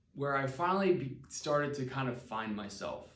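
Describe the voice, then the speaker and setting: An American accent comes through. Room echo is audible. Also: man. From Pennsylvania, Palmyra. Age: 20s. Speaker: special education teacher. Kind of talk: personal testimony video. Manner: hesitant, many fillers.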